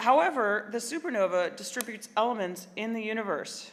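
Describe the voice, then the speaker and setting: A woman's fairly high voice with a Midwestern accent. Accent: American Midwest. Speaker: librarian. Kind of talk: keynote speech.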